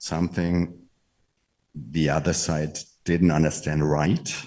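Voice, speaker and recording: Very deep and low in pitch, a man with a German accent speaks at a fairly slow pace in a dark, mellow tone with vocal fry. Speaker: network marketing leader. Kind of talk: motivational talk.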